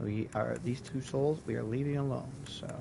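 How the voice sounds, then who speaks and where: A man speaks at a fairly slow pace with ordinary pitch variation. Room echo is audible. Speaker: gaming streamer. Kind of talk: gameplay tutorial. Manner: loud; casual, hesitant fillers. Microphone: mic volume issues, too loud.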